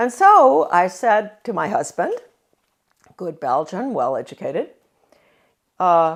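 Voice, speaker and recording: With an American accent, a woman talks with very wide pitch swings, vocal fry, and long, frequent pauses. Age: 80s+. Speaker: former education official, author. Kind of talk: speech recounting life story. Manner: halting, many fillers.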